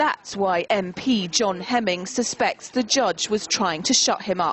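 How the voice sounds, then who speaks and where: Noticeable background noise runs under speech that holds very even loudness and shows ordinary pitch variation. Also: woman, medium pitch for a woman, fairly slow pace. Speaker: TV news reporter. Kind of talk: TV news report narration.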